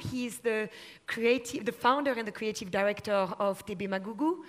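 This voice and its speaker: A woman speaks with a French accent. Her pitch sits fairly high and moves in an ordinary way. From France. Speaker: panel moderator. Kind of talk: panel discussion.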